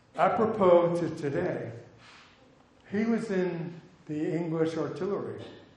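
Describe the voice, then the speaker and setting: With audible room echo, a man talks at a fairly slow pace and high pitch, with ordinary pitch variation. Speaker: physician and bird conservationist; guest lecturer. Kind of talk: lecture. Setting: stage with audience. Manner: animated storyteller. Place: hall. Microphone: headset.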